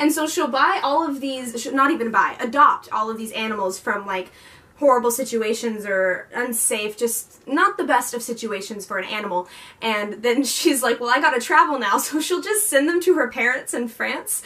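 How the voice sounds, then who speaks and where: With lively intonation and a high voice, a woman talks at a moderate pace. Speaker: book vlogger. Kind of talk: casual vlog chat. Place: home room. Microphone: camera far.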